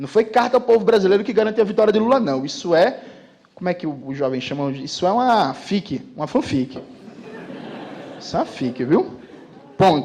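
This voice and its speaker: Animated in tone, a man with a high voice makes very wide pitch swings and leaves long, frequent pauses amid noticeable background noise. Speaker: political commentator. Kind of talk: political speech to live audience. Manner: fast.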